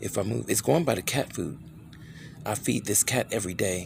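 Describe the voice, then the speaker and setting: The speaker is a man with vocal fry. He talks at a moderate pace. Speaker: video blogger filming night sky. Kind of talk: casual handheld video narration. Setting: outdoors at night in driveway. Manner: halting, self-interrupting; whispering.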